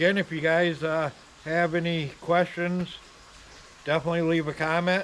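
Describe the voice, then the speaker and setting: A man mumbling at a fairly slow pace in a fairly high pitch, with noticeable background noise. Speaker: leech trapper and bait shop owner. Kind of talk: casual outdoor how-to vlog. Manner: mumbling, many filler ums.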